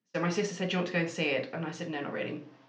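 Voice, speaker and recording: In a room with audible echo, a woman speaks at a fairly low pitch with fairly even intonation. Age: 30s. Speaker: marketing agency owner. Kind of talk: interview.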